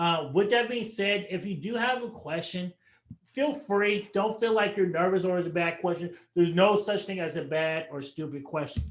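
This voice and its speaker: Using ordinary pitch variation, a man with a high-pitched voice talks at a moderate pace. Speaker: financial advisor. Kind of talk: webinar presentation. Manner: animated.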